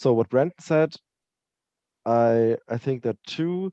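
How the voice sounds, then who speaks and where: A man with a non-native accent at a very slow pace, his tone dark and mellow, with ordinary pitch variation, in a dry, close sound with no echo. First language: not English. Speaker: tabletop RPG player. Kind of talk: post-game feedback discussion. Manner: halting, many hesitations.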